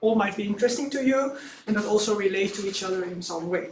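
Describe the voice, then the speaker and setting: Noticeable background noise and audible room echo surround a woman speaking at a fairly high pitch with a Dutch accent. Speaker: archaeologist. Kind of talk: conference presentation. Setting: workshop audience. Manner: reading from script; hesitant.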